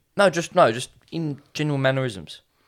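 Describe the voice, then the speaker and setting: A man speaks in an Australian accent at a moderate pace. The recording is very clean, with a silent background. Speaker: podcast host. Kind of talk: casual chat.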